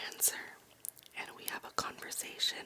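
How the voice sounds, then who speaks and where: Noticeable background noise sits behind a woman who is whispering. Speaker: ASMR creator. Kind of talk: poetry reading for sleep. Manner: whispered, slow.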